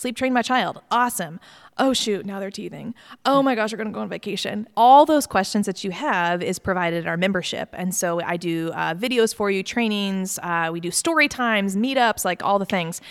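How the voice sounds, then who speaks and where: A woman with an American accent speaks at a fairly quick pace in a medium pitch. It is a plain, everyday voice. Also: ordinary pitch variation, very clean recording, silent background. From Virginia, Mechanicsville. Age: 30s. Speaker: pediatric sleep consultant. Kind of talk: interview.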